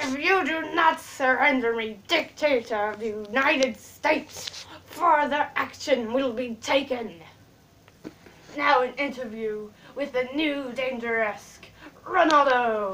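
A woman speaks in a put-on character voice, pitched high. She goes at a fairly slow pace. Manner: pompous, menacing.

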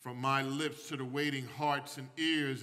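Here a man speaks at a very slow pace. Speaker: pastor. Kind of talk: prayer before sermon. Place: church. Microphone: podium.

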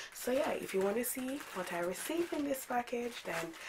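Noticeable background noise under a moderate pace and very wide swings in pitch. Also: woman. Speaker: beauty vlogger. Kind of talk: casual vlog chat. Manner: informal, chatty.

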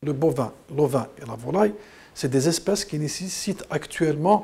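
This man speaks at a fairly slow pace in a fairly high, somewhat breathy voice with lively intonation. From Algeria. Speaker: consumer association president. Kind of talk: interview soundbite. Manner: hesitant, repeats words. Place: studio.

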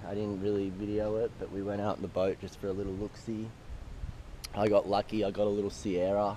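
Low in pitch with a dark, mellow tone, a man talks at a moderate pace with little pitch movement.

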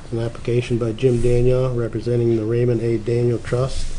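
A man talks over light background noise. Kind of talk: meeting procedure talk. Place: meeting room. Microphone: podium.

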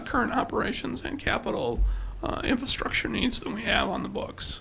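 A man is talking. Light background noise can be heard. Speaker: presenter. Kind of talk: presentation to council. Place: hall.

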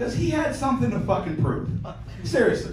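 A man with an American accent speaks amid audible room echo and light background noise. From Pittsburgh, US. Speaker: stand-up comedian. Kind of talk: crude, self-deprecating stand-up set of rapid one-liners and dark punchlines. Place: stage.

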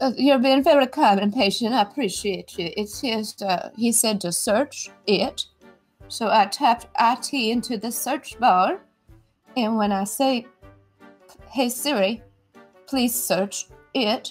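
A woman's voice with ordinary pitch variation and long, frequent pauses, with faint music in the background. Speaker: caller. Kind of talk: comedic phone conversation. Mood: exasperated, apologetic. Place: home room.

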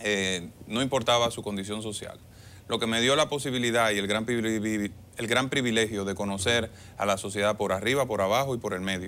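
A man talks at a fairly quick pace with a medium pitch. His tone is bright and sharp, and his intonation is fairly even. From Dominican Republic, Monte Plata; Dominican Republic. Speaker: government official and political candidate; candidate. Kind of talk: TV interview. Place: studio. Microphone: lapel.

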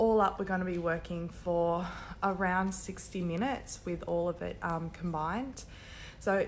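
A woman at a fairly slow pace with light background noise. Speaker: yoga instructor. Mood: friendly, calm, upbeat. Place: gym. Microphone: headset.

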